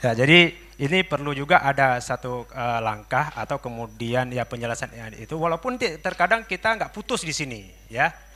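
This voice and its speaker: Bright and sharp in tone, a man's fairly high voice moves at a fairly quick pace with lively intonation. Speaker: audience member asking a question. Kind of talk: question from the floor at a seminar. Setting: seminar hall.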